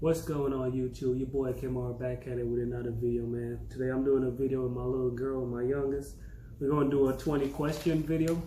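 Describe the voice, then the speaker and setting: Audible room echo and noticeable background noise surround a man's voice. He speaks at a fairly quick pace in monotone, flat intonation. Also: medium pitch for a man. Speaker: YouTuber teaching his daughter Jamaican patois. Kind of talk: casual tutorial.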